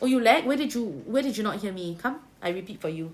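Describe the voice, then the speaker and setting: A woman speaks in a Singaporean accent with a somewhat breathy voice. Her pitch swings very widely. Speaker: tarot reader. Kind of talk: livestream tarot reading. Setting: livestream. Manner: casual, Singlish particles.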